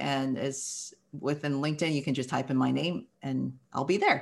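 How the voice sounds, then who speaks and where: The recording is very clean, with a silent background. A woman talks at a fairly quick pace with ordinary pitch variation. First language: not English. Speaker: company founder and architect. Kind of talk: interview.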